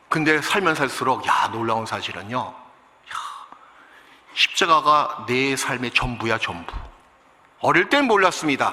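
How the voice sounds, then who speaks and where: Amid noticeable background noise, a man talks at a very slow pace with lively intonation and long, frequent pauses. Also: fairly high pitch for a man. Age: 60s. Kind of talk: sermon. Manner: animated.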